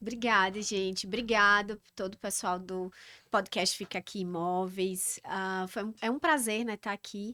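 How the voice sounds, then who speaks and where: A woman with a northeastern Brazilian accent speaks fairly slowly in a bright, sharp tone, with big swings in loudness. The sound is dry and close, with no echo. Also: medium pitch for a woman, fairly even intonation, very clean recording, silent background. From Northeast Brazil, Campina Grande, Paraíba. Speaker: organizational psychologist. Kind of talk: podcast interview.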